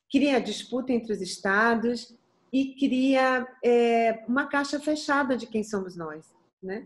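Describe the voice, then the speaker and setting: Fairly high-pitched female speech, fairly slow in pace, with ordinary pitch variation. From Bahia, Brazil. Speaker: singer. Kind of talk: interview answer.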